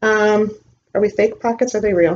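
A woman with an American accent talks over light background noise. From US Midwest (Illinois). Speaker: reseller YouTuber. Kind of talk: haul video monologue. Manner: casual, filler-heavy. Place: home room. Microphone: webcam.

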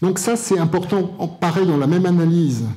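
The voice is somewhat breathy, with ordinary pitch variation. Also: man. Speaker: conference speaker. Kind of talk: lecture. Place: hall. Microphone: handheld.

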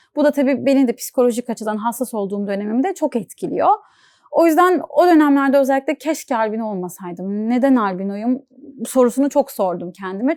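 At a fairly quick pace, a woman speaks with a high pitch and lively intonation in a dry, close sound with no echo. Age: 20s. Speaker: content creator with albinism. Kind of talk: interview.

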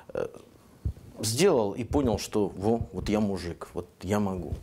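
A man speaks at a fairly low pitch. Light background noise can be heard. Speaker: TV host. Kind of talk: interview. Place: home room. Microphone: lapel.

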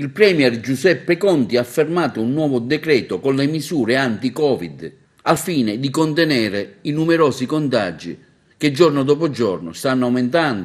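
Over a quiet background, a man uses a normal speaking voice. His pitch is medium and his pace moderate. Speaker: TV news presenter. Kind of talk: formal news reading. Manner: formal, even-paced newsreader delivery; neutral, impersonal, dense with official decree wording.

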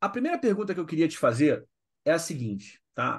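Quiet surroundings and a male voice at a moderate pace. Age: 40s. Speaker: podcast host. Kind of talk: casual interview chat.

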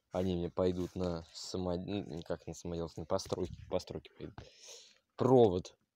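A dark, mellow voice moves at a moderate pace, with a dry sound with no echo and light background noise. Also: man. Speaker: video blogger; vlogger showing his plot. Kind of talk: casual vlog walkthrough. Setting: outdoors. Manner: halting, many fillers. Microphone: phone near.

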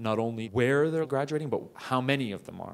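Speaking at a very fast pace, a man with a Canadian accent uses ordinary pitch variation. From Canada, Toronto. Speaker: plastic surgery resident; guest. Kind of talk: interview talk to students. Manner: animated. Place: hall. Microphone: handheld.

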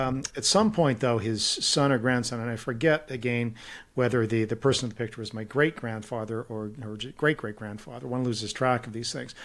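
A man talks at a fairly quick pace and medium pitch, keeping his intonation fairly even. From Kelowna, British Columbia, Canada; British Columbia. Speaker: policy think tank president and author; podcast guest. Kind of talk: interview conversation. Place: home room. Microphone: studio mic.

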